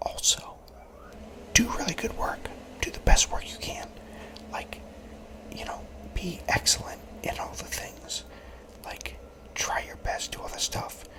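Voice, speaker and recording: Someone whispers at a fairly slow pace, leaving long, frequent pauses. Noticeable background noise can be heard. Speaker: law-related content creator. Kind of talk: ASMR whisper talk to camera giving career advice. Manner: whispered, soft-spoken.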